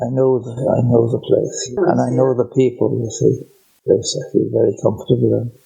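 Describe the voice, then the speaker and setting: He talks at a moderate pace. The man has a West Cork accent. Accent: West Cork Irish. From Ireland, West Cork. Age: 80s+. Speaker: retired teacher trainer. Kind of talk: casual chat.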